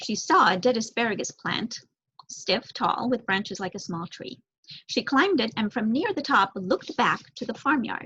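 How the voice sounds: With lively intonation, a woman speaks in a fairly bright voice that carries a slightly husky edge.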